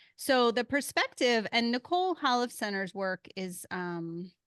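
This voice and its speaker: Against a quiet background, a woman with a slight Philadelphia accent speaks at a very slow pace with lively intonation. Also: dry, close sound with no echo. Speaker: podcast host. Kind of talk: casual chat.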